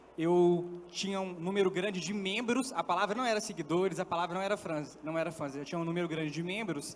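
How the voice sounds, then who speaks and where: Against noticeable background noise, a man talks at a fairly quick pace with high pitch and ordinary pitch variation. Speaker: content creator. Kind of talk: panel discussion. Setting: stage with audience.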